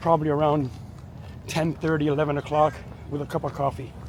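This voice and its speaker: A man speaks in a fairly high pitch with flat, monotone intonation. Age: 60s. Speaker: martial arts instructor and fitness vlogger. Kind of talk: casual vlog narration. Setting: outdoors on a walk, then at home dojo. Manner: casual with frequent fillers and repeats.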